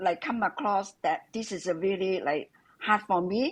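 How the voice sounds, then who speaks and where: A woman talks at a medium pitch against a quiet background. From Hong Kong. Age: 70s. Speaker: mother-in-law of the host. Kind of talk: interview. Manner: halting; light and cheerful.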